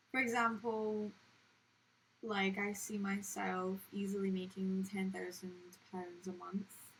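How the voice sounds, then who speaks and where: A woman's somewhat breathy, medium-pitched voice at a very slow pace, with monotone, flat intonation. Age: 20s. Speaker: video journaler. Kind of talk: personal video diary. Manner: casual, hesitant with fillers.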